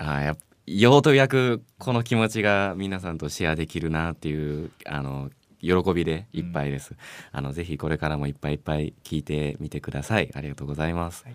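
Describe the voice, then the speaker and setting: A man talks at a fairly quick pace in a very deep, low voice. His intonation is lively. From Japan, Osaka with school years in Ehime. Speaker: musician, bassist. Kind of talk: casual interview chat. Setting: radio studio.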